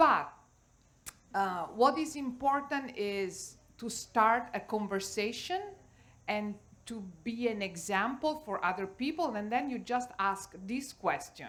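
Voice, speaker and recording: A woman with an Italian accent, fairly high pitch, lively intonation and very slow pace. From Italy. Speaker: cooking teacher. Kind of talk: panel discussion.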